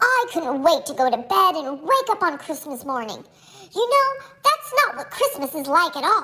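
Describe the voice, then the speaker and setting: Putting on a squeaky character voice, a woman speaks at a moderate pace with an extremely high pitch and very wide pitch swings. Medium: read story.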